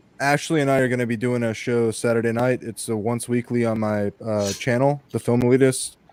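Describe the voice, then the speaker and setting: This man talks at a fairly quick pace in a medium pitch, with monotone, flat intonation. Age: 20s. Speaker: panelist, film channel host. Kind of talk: casual chat.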